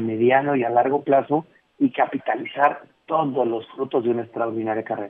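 Speaking at a moderate pace and a medium pitch with fairly even intonation, a man has an ordinary speaking voice. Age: 40s. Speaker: speaker and consultant on generations and work. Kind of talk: radio interview. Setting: phone call.

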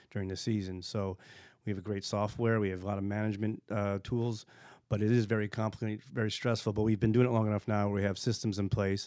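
In an American accent, a man talks very fast at a fairly low pitch with flat, monotone intonation, and the recording is very clean with a silent background. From US East Coast. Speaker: winemaker. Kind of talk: casual interview.

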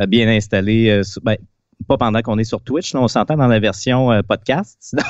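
This is a man talking. He has a Quebec accent. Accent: Québécois French. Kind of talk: quiz question reading; casual chat. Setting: remote video call.

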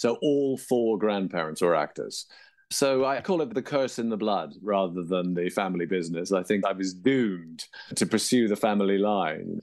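With an English accent, a man speaks at a fairly low pitch with lively intonation. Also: moderate pace. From England. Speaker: author and actor. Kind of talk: interview.

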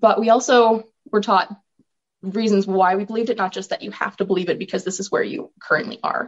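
Talking at a fairly quick pace, a woman with a western Canadian accent speaks at medium pitch. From Alberta, Canada (Olds, rural farm). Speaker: author and filmmaker. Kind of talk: interview.

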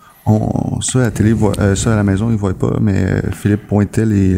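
Noticeable background noise sits under a man speaking at a moderate pace, his fairly low voice flat and monotone. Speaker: podcast co-host. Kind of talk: casual chat.

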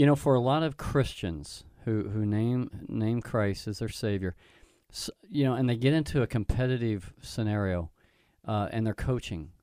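A man at medium pitch with an Oklahoma accent, dark, mellow tone and ordinary pitch variation, in a very clean recording with a silent background. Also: moderate pace. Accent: Oklahoma twang. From Tulsa, Oklahoma. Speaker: pastor, co-host. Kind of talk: radio interview.

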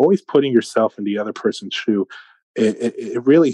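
A man with a New York accent speaks at a medium pitch, his tone dark and mellow, the sound dry and close with no echo. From Brooklyn, New York. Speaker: sales and business leader. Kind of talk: interview.

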